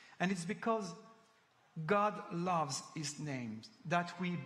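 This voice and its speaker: With a French accent and a high pitch, a man speaks at a very slow pace with lively intonation, over noticeable background noise and audible room echo. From France. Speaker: preacher. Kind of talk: sermon. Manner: halting.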